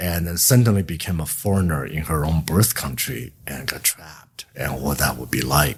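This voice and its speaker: A man with a Chinese accent speaks at a moderate pace in a very deep, low voice with lively intonation and hardly any pauses. His loudness swings widely over noticeable background noise. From China. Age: 60s. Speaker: author. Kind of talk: interview. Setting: in-person interview.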